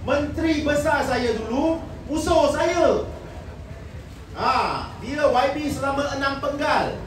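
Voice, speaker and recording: A very slow pace with audible room echo and light background noise. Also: man, high pitch for a man. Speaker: politician. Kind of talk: political rally speech. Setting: stage with audience. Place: hall.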